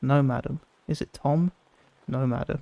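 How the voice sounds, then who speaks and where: Soft-spoken and relaxed in tone, the voice moves at a moderate pace. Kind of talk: fairy tale reading. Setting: recorded in a tent with rain sounds. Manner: soft-spoken, relaxed.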